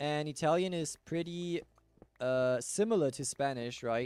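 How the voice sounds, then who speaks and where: In a German accent, a man speaks at a fairly slow pace with a fairly high pitch and a relaxed tone. His intonation is lively, and music plays in the background. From Germany. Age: 20s. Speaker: gaming streamer. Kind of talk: casual chat.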